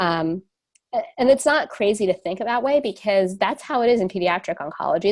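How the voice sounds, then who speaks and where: With a New Jersey accent, a woman talks at a fairly quick pace with lively intonation. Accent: New Jersey American. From US, New Jersey. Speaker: radiation oncologist and company co-founder. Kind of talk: webinar lecture. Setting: webinar. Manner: fast.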